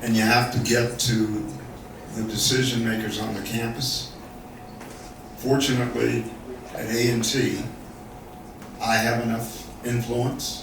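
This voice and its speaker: A man talks at a fairly slow pace and a medium pitch, flat and monotone, with long, frequent pauses. Noticeable background noise and audible room echo fill the recording. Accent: American. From US South, North Carolina. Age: 70s. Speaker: business school dean. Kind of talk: panel discussion.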